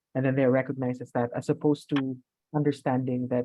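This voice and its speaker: A man's medium-pitched voice at a very fast pace, monotone and flat, with music in the background. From Philippines. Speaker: academic researcher and panel moderator. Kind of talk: webinar panel moderation.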